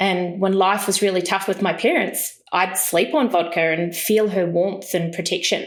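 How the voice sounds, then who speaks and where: This woman speaks in a New Zealand accent. Audible room echo surrounds her voice. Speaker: entrepreneur, business founder. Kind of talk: storytelling in podcast interview.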